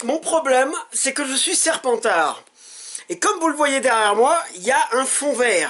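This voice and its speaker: A man speaks at an extremely high pitch, his voice swinging very widely up and down. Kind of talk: casual game trailer reaction. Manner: excited.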